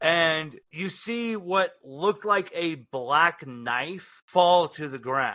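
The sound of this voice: A man speaks slowly in a fairly high pitch, with a bright, sharp tone and ordinary pitch variation.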